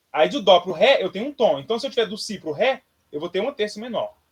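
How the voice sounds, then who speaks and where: A man's high-pitched voice at a fairly quick pace. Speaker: music teacher. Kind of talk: lecture. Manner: fast.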